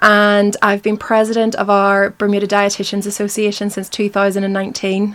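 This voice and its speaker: Speaking with a Northern Irish accent, a woman of medium pitch talks at a fairly quick pace with hardly any pauses and monotone, flat intonation, on a very clean recording with a silent background. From Northern Ireland, Belfast. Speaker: dietitian. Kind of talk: interview. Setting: studio.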